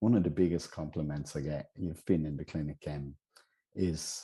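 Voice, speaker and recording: A man with an Irish accent speaks at a moderate pace in a dark, mellow tone. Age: 60s. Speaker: healer. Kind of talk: interview.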